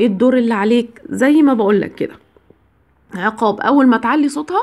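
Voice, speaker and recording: Moving at a moderate pace, a woman speaks in a high voice. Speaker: biology teacher giving marriage advice. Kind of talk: advice monologue to camera. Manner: conversational, with filler sounds.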